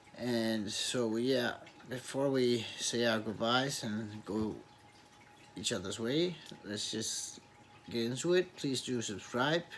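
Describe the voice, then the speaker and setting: Through audible room echo and noticeable background noise, a man of medium pitch speaks at a very slow pace with long, frequent pauses and ordinary pitch variation. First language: Danish. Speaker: YouTuber reviewing movies and TV. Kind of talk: casual vlog outro. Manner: halting, many repetitions.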